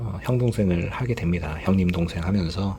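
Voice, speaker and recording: Noticeable background noise sits under this recording. The man's voice is very deep and low in pitch. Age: 50s. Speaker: former commercial director, YouTuber. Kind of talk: personal storytelling monologue. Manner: casual, many filler sounds.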